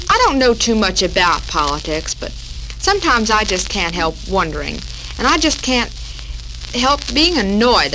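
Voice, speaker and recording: With noticeable background noise behind them, a speaker in an American accent keeps a moderate pace. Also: woman. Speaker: radio show host. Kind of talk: 1940s radio talk show.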